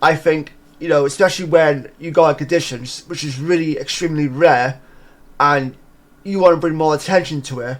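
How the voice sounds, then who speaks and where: Using a normal speaking voice, a man talks fairly quickly in a fairly high pitch with fairly even intonation. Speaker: podcast host. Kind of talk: casual podcast commentary.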